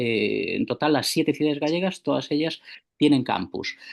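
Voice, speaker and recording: A man with a Galician accent speaks at a moderate pace. His pitch is fairly high, and the background is quiet. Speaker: university theatre organiser. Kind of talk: conference talk by video call. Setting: video call.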